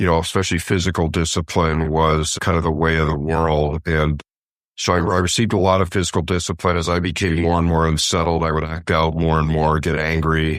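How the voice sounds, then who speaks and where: In a very clean recording with a silent background, a man with an American accent speaks at a fairly quick pace in a very deep, low pitch, with monotone, flat intonation and very even loudness. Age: 60s. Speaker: neuroscience coach, recovered addict. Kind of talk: personal testimony in interview.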